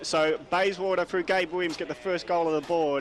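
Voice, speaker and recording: Noticeable background noise surrounds a man speaking with an Australian accent. He talks at a moderate pace with a fairly high pitch. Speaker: football commentator. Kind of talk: live commentary.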